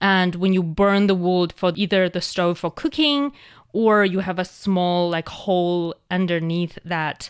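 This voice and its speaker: A woman with a Chinese accent speaks at medium pitch and a fairly slow pace, with ordinary pitch variation and a quiet background. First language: Mandarin Chinese. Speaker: language show host. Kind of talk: educational casual chat. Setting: studio.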